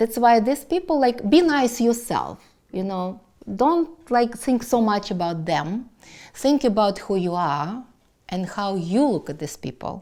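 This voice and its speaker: A woman with a Russian accent speaks at a fairly slow pace, with a fairly high pitch and a dark, mellow tone. Her pitch swings very widely, and the recording is very clean with a silent background. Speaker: business owner. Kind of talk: personal life story monologue. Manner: halting.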